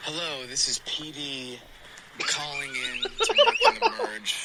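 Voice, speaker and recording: A put-on character voice at a fairly slow pace, with light background noise. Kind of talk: smooth radio announcer.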